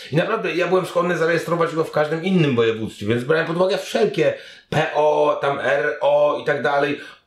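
A man's high-pitched voice with a Polish accent, ordinary pitch variation and a fairly quick pace, plus audible room echo. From Poland. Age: 40s. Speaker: internet content creator and reporter. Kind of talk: interview. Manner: casual, animated. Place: home room.

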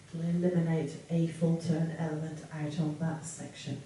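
A woman speaks at a fairly slow pace in a monotone, flat intonation, her pitch fairly low. Light background noise and audible room echo are present. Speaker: dance instructor. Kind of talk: tutorial. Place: home room.

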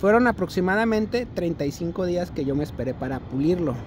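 A woman talks with lively intonation in a dry sound with no echo, though noticeable background noise is present. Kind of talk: casual vlog chat. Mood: annoyed, complaining about product. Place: street. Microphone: phone near.

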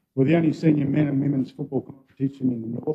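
Against a quiet background, a man speaks at a very fast pace with ordinary pitch variation. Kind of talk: formal presentation to council. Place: hall.

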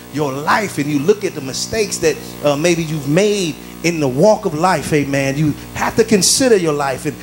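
Music runs in the background as a man talks with ordinary pitch variation. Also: moderate pace. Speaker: preacher. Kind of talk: sermon. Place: church. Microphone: handheld.

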